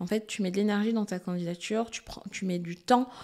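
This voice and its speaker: The background is quiet. The intonation stays fairly even. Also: woman. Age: 30s. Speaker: HR director; guest. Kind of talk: casual interview. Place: studio. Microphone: studio mic.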